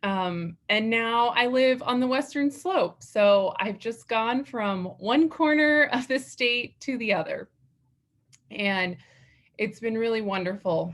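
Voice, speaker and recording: A woman speaks at a very slow pace. Her fairly high voice carries lively intonation. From Colorado (Lamar, southeastern plains). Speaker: dental hygienist, association officer. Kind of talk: acceptance speech. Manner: loud.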